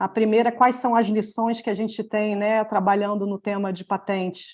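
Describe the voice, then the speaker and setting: A woman, monotone and flat in intonation, against a quiet background. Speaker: patent and access-to-medicines expert, webinar panelist. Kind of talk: presentation in a webinar. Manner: hesitant, many fillers.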